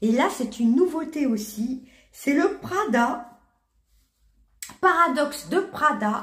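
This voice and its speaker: With long, frequent pauses, a woman speaks very slowly in a high pitch and lively intonation, audible room echo in the space. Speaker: beauty and perfume youtuber. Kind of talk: product review. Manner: halting, many hesitations.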